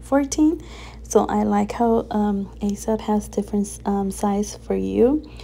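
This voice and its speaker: A woman talking at a very slow pace amid noticeable background noise. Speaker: crafting YouTuber. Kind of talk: tutorial. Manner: animated.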